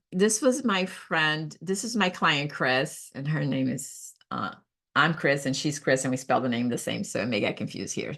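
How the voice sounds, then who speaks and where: This is a woman with a very deep, low pitch. Her tone is bright and sharp. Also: quiet background. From Brazil. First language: Portuguese. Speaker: professional organizer. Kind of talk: casual talk. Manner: halting, many fillers.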